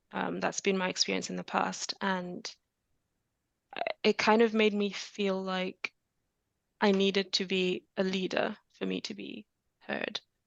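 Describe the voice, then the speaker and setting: A soft-spoken woman talks in a calm tone at a fairly slow pace with long, frequent pauses. The sound is dry and close, with no echo. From Zambia. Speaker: software engineer. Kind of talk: podcast interview.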